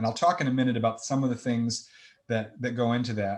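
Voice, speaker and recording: An American accent in a man's voice of medium pitch. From US Midwest. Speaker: accounting presenter. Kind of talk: webinar lecture. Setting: online webinar.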